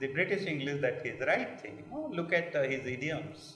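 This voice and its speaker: With an Odisha accent, a man talks at a moderate pace amid noticeable background noise and audible room echo. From India, Odisha (Kalahandi). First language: Odia. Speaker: literature scholar. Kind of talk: panel discussion. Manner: hesitant, many fillers.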